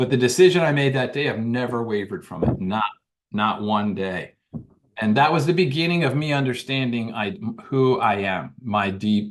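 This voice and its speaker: A man speaks at a moderate pace with a plain, everyday voice, pitched in the middle range and with an American accent. His intonation is lively. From Washington DC area, US. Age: 60s. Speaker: author and former police officer. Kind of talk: interview storytelling.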